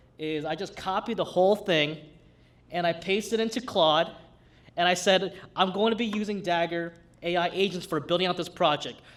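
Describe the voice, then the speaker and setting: Speaking with a Brooklyn accent, a man uses a high pitch. He talks at a fairly quick pace. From New York City, Brooklyn. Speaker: hack night demo presenter. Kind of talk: live tech demo. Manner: casual, halting with fillers.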